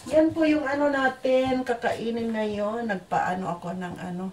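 There is light background noise behind a woman's voice. She talks at a fairly slow pace with lively intonation. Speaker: vlogger. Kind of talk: casual vlog chat. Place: home room. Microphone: phone near.

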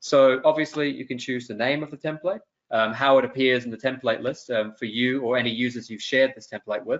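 Here a man talks at a fairly quick pace with a fairly bright tone. His intonation stays fairly even. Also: medium pitch for a man.

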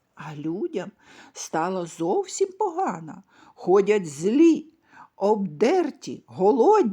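A woman speaks very slowly in a somewhat breathy voice of medium pitch. Her pitch swings very widely. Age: old. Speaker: storyteller. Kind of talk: bedtime story reading for children.

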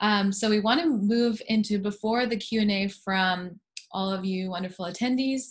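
A woman speaks in a somewhat breathy voice with ordinary pitch variation. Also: moderate pace, quiet background. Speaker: panel moderator. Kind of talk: panel moderation. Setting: video call. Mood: warm, friendly. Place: home room. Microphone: video call.

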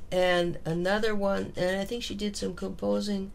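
A woman with an Upper Midwest accent speaks at a moderate pace. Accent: Upper Midwest American. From US Midwest, Minneapolis. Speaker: music professor. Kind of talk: oral history interview.

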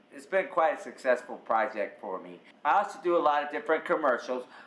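Audible room echo surrounds the voice. A man is talking at a moderate pace. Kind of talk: interview answer. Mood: upbeat, proud.

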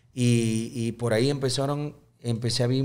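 The voice has a dark, mellow tone and fairly even intonation. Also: man. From Panama. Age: 30s. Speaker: accordionist and band leader; guest. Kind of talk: casual interview chat. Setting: studio. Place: studio. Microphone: studio mic.

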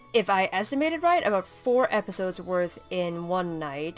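A woman with music in the background. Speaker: let's play gamer. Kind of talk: casual game commentary with text read-aloud.

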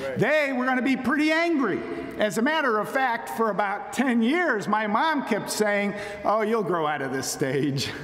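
A man talks with very wide pitch swings. Audible room echo and light background noise come through. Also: moderate pace. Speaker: speaker. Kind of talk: sermon. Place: church. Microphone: podium.

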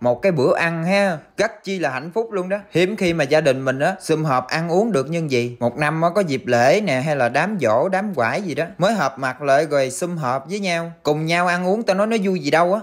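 A man speaks at a high pitch with lively intonation. He leaves hardly any pauses. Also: quiet background. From southern Vietnam. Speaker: rural cooking vlogger. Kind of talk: casual vlog narration. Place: garden. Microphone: phone near.

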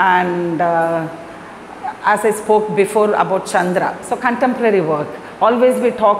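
A woman is speaking. There is light background noise and audible room echo. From Chennai, Tamil Nadu, India; Tamil Nadu, India. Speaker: Bharatanatyam dancer and teacher; teacher. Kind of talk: interview talk. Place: empty room.

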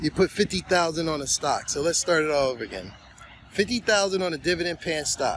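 Over light background noise, a man talks at a very fast pace in a high pitch, the sound dry with no echo. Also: ordinary pitch variation. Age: 50s. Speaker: finance YouTuber. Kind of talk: casual monologue to camera. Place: open country. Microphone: phone near.

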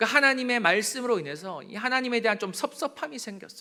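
A man's raised, projected voice, high-pitched with a bright, sharp tone, lively intonation and a fairly quick pace, on a very clean recording with a silent background. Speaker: pastor. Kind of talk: sermon. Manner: gets loud when preaching.

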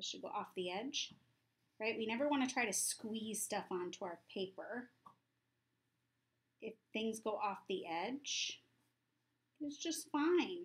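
A somewhat breathy voice moves at a fairly slow pace with long, frequent pauses and very wide pitch swings. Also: woman. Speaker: art teacher. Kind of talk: tutorial. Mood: warm, encouraging. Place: home room. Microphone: phone near.

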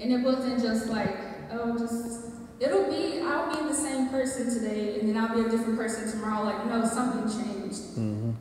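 A woman speaks at a moderate pace with ordinary pitch variation. Strong room echo and light background noise fill the recording. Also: fairly high pitch for a woman. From US South, rural Georgia. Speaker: church member giving testimony. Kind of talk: testimony. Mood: earnest, emotional. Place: hall.

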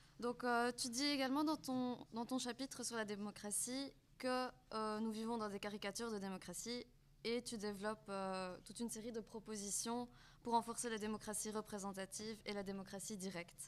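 A woman uses an ordinary speaking voice, moderate in pace and fairly high in pitch, with fairly even intonation. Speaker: student activist, moderator; moderator. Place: hall. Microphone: podium.

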